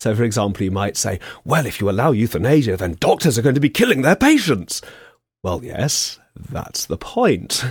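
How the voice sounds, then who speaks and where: A man with an English accent speaks at a moderate pace and medium pitch. His voice is somewhat breathy, with lively intonation. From England. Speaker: philosophy professor, former veterinary surgeon. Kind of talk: radio interview.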